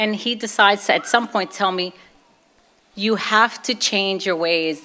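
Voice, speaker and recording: The speaker has a Brooklyn accent and a bright, sharp tone. Pitch varies in an ordinary way. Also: woman. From Brooklyn, New York (Puerto Rican family). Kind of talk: testimony. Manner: animated.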